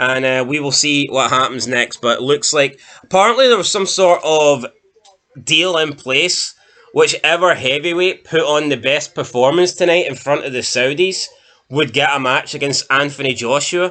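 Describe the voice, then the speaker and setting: In a Scottish accent, a man with a fairly high voice speaks at a moderate pace. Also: ordinary pitch variation. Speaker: boxing commentator, channel co-host. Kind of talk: casual chat. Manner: casual, halting.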